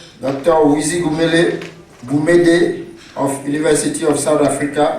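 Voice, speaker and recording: Fairly high-pitched, a man speaks at a fairly slow pace with noticeable background noise and audible room echo. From Cameroon. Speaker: session chair. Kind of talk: moderating introductions. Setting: conference with audience.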